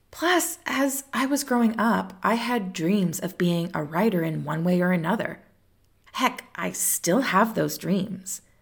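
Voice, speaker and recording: On a very clean recording with a silent background, a woman of medium pitch speaks at a fairly slow pace with a warm tone, vocal fry and lively intonation. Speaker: tarot podcast host. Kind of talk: solo podcast monologue. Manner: warm, conversational.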